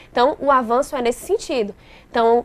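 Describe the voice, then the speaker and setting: At a fairly quick pace, a woman speaks with a fairly high pitch and ordinary variation in it. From interior of Bahia, Brazil. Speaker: lawyer. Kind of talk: interview.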